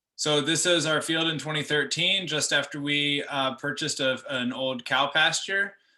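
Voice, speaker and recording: Bright and sharp in tone, a man with an American accent speaks at a fairly high pitch with fairly even intonation. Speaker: farmer. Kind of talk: presentation. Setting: video call. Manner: fast.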